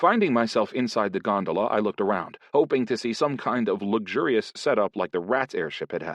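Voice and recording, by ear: Someone reads a passage aloud in a natural voice.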